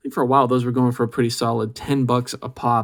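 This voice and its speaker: Over a silent background in a very clean recording, a man talks fairly quickly at a medium pitch in a plain, everyday voice. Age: 30s. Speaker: baseball card collector, video host. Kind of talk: casual pack-opening commentary.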